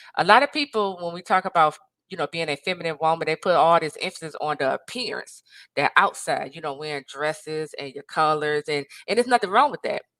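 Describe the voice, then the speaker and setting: At a very fast pace, a woman talks with a fairly low pitch, lively intonation, and a bright, sharp tone in a dry, close recording with no echo. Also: big swings in loudness. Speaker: life and marriage coach. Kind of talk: motivational talk to camera. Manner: loud; animated.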